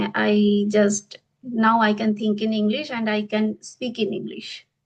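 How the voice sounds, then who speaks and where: Somewhat breathy, a woman talks at a fairly high pitch with an Indian accent. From India, Bengal. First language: Bengali. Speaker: English teacher. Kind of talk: interview. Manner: halting.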